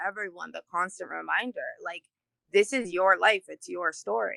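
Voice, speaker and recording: The sound is dry and close, with no echo. The speaker is a woman. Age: adult. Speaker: community group president. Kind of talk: casual interview. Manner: loud.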